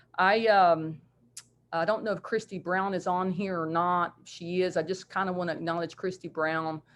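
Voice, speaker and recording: A woman with a West Virginia accent speaks at a moderate pace in a fairly low, flat, monotone voice against a quiet background. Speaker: basketball coach. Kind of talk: video call presentation.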